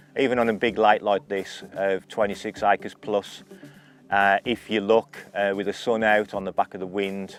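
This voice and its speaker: Over noticeable background noise, a man speaks at a moderate pace in a fairly low pitch and monotone, flat intonation, with a dry, close sound and no echo. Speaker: carp angler. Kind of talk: fishing tutorial. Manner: soft-spoken.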